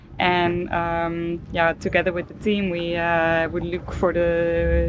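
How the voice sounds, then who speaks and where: Very slow speech from a woman, her pitch fairly low. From Norway. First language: Norwegian (speaking German). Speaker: professional cyclist. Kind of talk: interview.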